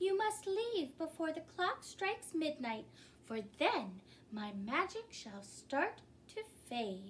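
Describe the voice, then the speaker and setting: Over clear background noise, a woman uses a put-on character voice pitched extremely high, speaking at a fairly slow pace with very wide pitch swings. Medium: read story.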